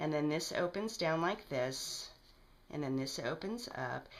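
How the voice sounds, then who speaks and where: There is audible room echo in this recording. A woman talks at a moderate pace. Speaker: crafter. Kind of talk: tutorial.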